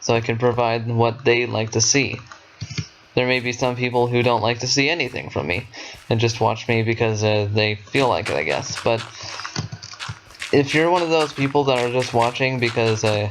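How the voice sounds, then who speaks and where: With music in the background, a man talks at a moderate pace and a medium pitch, with ordinary pitch variation and long, frequent pauses. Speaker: gaming youtuber. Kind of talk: casual gameplay commentary. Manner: halting.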